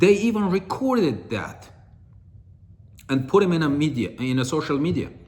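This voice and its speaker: With an Armenian accent and a fairly high pitch, a man talks at a moderate pace with very wide pitch swings and long, frequent pauses, in audible room echo. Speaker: political commentator. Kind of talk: political monologue. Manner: halting.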